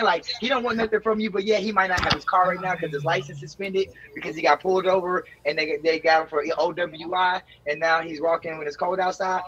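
Over noticeable background noise, a man talks very fast in a raised, projected, high-pitched voice. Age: 30s. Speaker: streamer, bachelor on dating show. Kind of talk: casual chat. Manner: halting.

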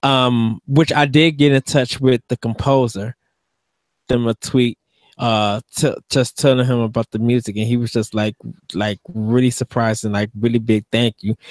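Over a quiet background, a man talks at a moderate pace with fairly even intonation, the sound dry with no echo. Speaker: podcast co-host. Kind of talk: casual chat. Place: home room. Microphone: studio mic.

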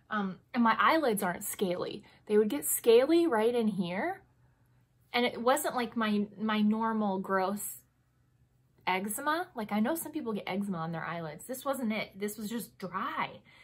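A woman speaks at a moderate pace in a fairly high, somewhat breathy voice with lively intonation. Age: 30s. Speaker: beauty and lifestyle vlogger. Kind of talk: casual monologue product review. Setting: home recording. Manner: chatty, self-deprecating, laughs often.

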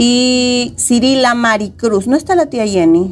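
The woman's voice is high-pitched with lively intonation. Light background noise is present. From Ecuador. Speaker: co-host. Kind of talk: news discussion show. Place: studio. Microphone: lapel.

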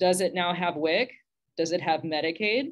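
With an American accent, a woman talks at a moderate pace in a fairly low pitch. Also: quiet background. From Texas. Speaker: minister. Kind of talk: panel discussion; panel discussion remarks. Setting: video call. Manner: animated, conversational. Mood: earnest, slightly wry. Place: home room. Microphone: video call.

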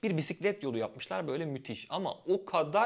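A man talks in a normal speaking voice. His pace is moderate and his intonation lively. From Turkey, Izmir. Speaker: YouTuber on life in Germany. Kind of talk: casual vlog monologue.

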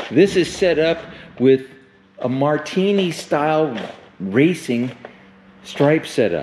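Light background noise accompanies a man who talks very slowly. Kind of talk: sales walkaround commentary. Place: garage. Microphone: phone near.

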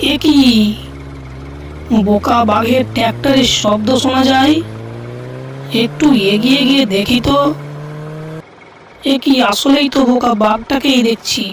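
Over clear background noise, a female-sounding cartoonish character voice runs at a moderate pace with a fairly high pitch.

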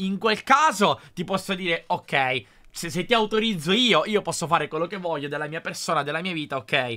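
Recorded very cleanly against a silent background, a high-pitched man with a bright, sharp tone sounds animated, talking at a moderate pace with ordinary pitch variation. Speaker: YouTuber. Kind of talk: reaction video commentary.

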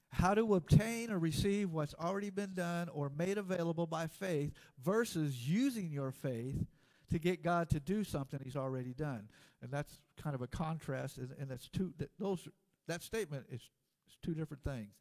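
Over a quiet background, a man's voice shows big swings in loudness. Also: moderate pace. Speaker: preacher. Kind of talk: sermon. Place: church.

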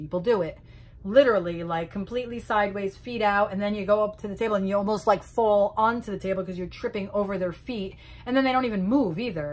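A woman talks at a very fast pace. Her pitch variation is ordinary. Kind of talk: casual vlog rant. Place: home room. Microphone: phone near.

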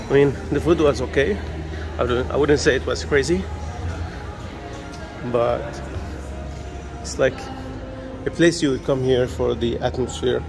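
A man speaks at a moderate pace with long, frequent pauses while clear music plays in the background. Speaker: travel vlogger. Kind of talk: casual vlog chat. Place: church. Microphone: phone near.

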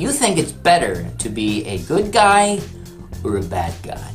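Clear music plays behind a man's voice. He speaks at a very slow pace. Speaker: voice actor. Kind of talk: casual talk to camera. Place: booth. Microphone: studio mic.

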